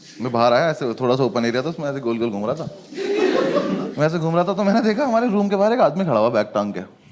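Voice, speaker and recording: The speech moves through very wide pitch swings over noticeable background noise. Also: man, fairly high pitch for a man. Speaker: stand-up comedian. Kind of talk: stand-up comedy storytelling.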